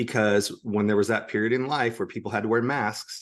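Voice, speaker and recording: A man with an American accent speaks in a normal speaking voice. His pace is moderate and his intonation fairly even. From United States. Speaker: public speaker on communication skills. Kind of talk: podcast interview.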